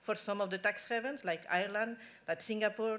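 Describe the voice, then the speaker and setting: A woman with a Spanish accent and a fairly high-pitched voice. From Spain. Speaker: tax policy expert at an NGO. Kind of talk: conference talk. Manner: halting.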